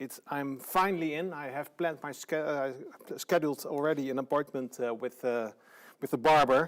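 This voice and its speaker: A man with a Dutch accent talks at a moderate pace and fairly high pitch, his intonation fairly even. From Netherlands, Friesland. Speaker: tourism organization director. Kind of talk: lecture. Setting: online live stream. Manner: halting, many fillers.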